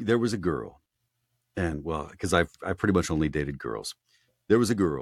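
On a very clean recording with a silent background, a man with a very deep, low pitch and vocal fry speaks at a moderate pace with lively intonation and long, frequent pauses. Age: 50s. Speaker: audiobook narrator. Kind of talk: casual chat.

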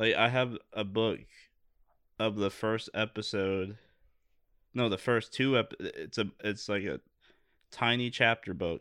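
A man with a fairly low pitch and a bright, sharp, animated tone, at a fairly slow pace with long, frequent pauses, on a very clean recording with a silent background. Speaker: podcast co-host. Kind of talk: casual comedic chat. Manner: animated, jokey.

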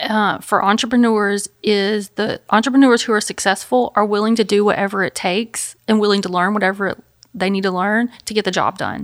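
A woman talks in a Memphis accent at a moderate pace. Her pitch is fairly high and her intonation fairly even. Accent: US Southern (Memphis). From Memphis, Tennessee. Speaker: counselor and business owner. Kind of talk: interview.

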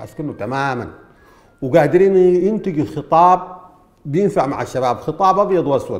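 Someone with a Sudanese accent speaks at a moderate pace with lively intonation. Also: man. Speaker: political commentator. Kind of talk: political commentary monologue.

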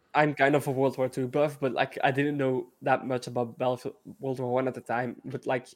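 Over a very clean, silent background, a man with a strong European accent talks at a fairly quick pace in a monotone, flat delivery. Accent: thick European. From Belgium. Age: 20s. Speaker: gaming content creator. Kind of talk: casual chat.

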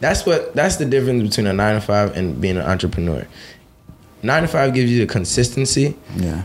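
A man talks at a fairly quick pace with very even loudness. His pitch swings very widely. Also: medium pitch for a man. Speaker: car detailing entrepreneur. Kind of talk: casual chat.

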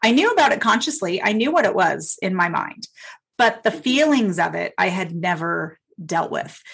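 A woman with an unremarkable speaking voice talks at a moderate pace. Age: 50s. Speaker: sound healer and spiritual coach. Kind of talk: casual chat.

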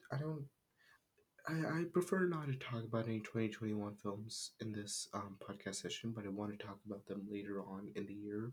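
A quiet, somewhat breathy man at medium pitch. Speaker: film podcaster. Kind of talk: casual solo podcast talk. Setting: closet room at home. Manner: halting, many fillers.

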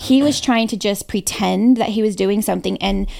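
In an ordinary speaking voice, a woman with a fairly high pitch and ordinary pitch variation talks at a fairly quick pace on a very clean recording with a silent background. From Hawaii and San Diego, US. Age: 30s. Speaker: real estate broker and team owner. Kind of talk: interview, personal storytelling.

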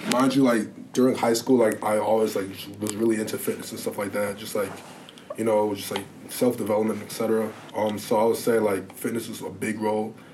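A man with fairly low pitch speaks at a fairly quick pace in a monotone, flat intonation amid noticeable background noise. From Illinois, Lake Bluff (north of Chicago). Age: young. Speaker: college athlete (sprinter), student. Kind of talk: interview, casual conversation.

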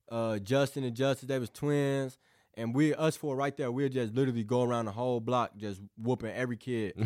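A man with an American accent and an unremarkable speaking voice, medium in pitch, at a moderate pace with fairly even intonation. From southeast Missouri, US. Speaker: college football recruit. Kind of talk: interview. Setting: studio.

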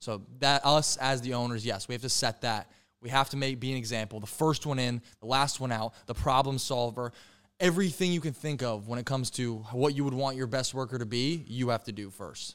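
This man has a normal speaking voice, pitched in the middle range, with ordinary pitch variation. He talks at a fairly quick pace on a very clean recording with a silent background. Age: 20s. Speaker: entrepreneur. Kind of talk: casual chat.

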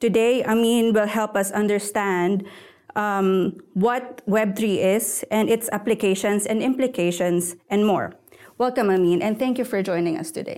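In an ordinary speaking voice, a woman talks at a fairly slow pace. Her pitch is medium and her intonation fairly even. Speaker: podcast host, tech editor. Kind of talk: podcast interview.

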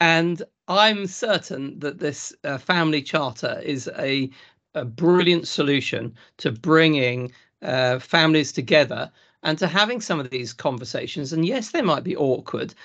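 In a Lincolnshire accent, a man talks at a fairly slow pace with a fairly high pitch and lively intonation. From South Lincolnshire, England. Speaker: farmer and agricultural consultant. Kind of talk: casual interview.

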